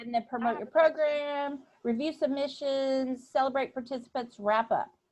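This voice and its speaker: A woman with an American accent speaks at a fairly slow pace in a raised, projected voice. Her tone is bright and sharp, her pitch is high, and its variation is ordinary. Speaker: PTA volunteer trainer. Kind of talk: online training session. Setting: video call.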